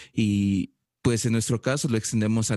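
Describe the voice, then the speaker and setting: A man's fairly low voice with monotone, flat intonation, dry and close with no echo, against a quiet background. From El Salvador. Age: 20s. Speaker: filmmaker. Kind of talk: casual chat.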